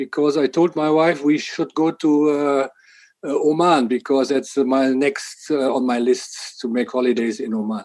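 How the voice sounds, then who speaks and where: A man with a German accent, fairly high in pitch, at a moderate pace with ordinary pitch variation. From Germany. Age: 60s. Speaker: water association department head. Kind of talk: podcast interview.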